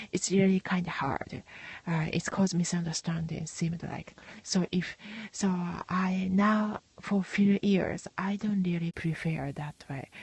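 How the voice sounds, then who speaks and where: The speaker talks at a fairly slow pace with a Japanese accent. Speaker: podcaster. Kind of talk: casual monologue. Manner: halting, many fillers and restarts.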